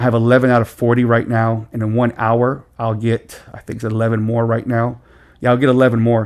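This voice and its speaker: A man talks fairly quickly in a flat monotone over a silent background on a very clean recording. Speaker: gaming tutorial creator. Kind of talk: tutorial. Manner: fast.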